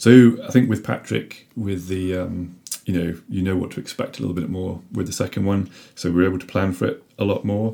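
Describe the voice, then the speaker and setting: A man's very deep, low, dark and mellow voice with a British accent, at a fairly quick pace with ordinary pitch variation. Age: 30s. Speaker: father talking about parental leave. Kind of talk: casual chat. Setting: in person at home.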